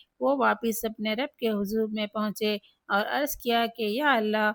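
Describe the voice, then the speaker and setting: In a very clean recording with a silent background and a dry, close sound with no echo, a woman with a plain, everyday voice speaks at a fairly high pitch with fairly even intonation. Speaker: religious speaker. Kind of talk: religious text reading.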